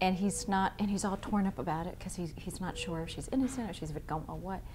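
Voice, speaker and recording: At a very fast pace, a woman speaks in a medium pitch with vocal fry and ordinary pitch variation. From US East Coast. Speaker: stage actor. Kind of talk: interview.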